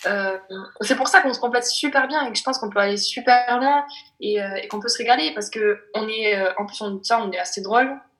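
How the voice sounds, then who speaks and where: At a fairly quick pace, a woman with a plain, everyday voice and a fairly high pitch speaks with ordinary pitch variation and big swings in loudness. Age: 20s. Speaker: optician, casting applicant. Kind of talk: casting video self-presentation.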